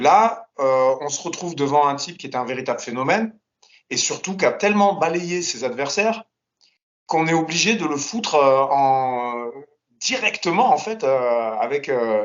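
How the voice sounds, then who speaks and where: A man with a normal speaking voice talks fairly slowly, his fairly high pitch carrying lively intonation. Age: 40s. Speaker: MMA analyst, martial artist. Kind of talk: casual analysis chat.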